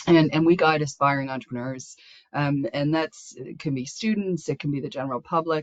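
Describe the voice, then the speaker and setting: Her pitch is very deep and low, with ordinary variation. This woman talks at a fairly quick pace. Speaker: small business support program host. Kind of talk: webinar presentation. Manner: halting, repeats words.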